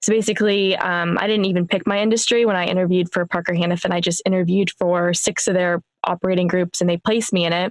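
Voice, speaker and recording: With an American accent, a woman speaks very fast in a flat monotone at a medium pitch, hardly pausing and keeping her loudness very even. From US Midwest, Warren, Northeast Ohio. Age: 20s. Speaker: sales engineer, podcaster, coaching client. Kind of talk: podcast interview.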